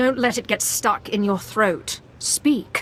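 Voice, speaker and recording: A woman's growling put-on character voice, fairly high-pitched with ordinary pitch variation, at a fairly slow pace over clear background noise. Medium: video game. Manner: cold, commanding.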